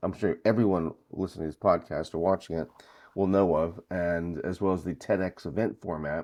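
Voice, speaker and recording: Speech in an American accent comes at a fairly quick pace, with fairly even intonation and big swings in loudness. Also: man, very deep, low pitch for a man. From US Northeast, Brooklyn. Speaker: conference founder and event organiser. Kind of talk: podcast interview. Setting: remote call from North Carolina.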